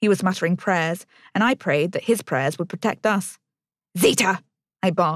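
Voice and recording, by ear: Someone is reading aloud in a natural voice with ordinary pitch variation against a quiet background.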